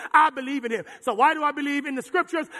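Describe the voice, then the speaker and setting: An extremely high-pitched man speaks in a raised, projected voice with an animated tone. Noticeable background noise runs underneath. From Jamaica. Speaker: pastor. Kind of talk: sermon. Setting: church.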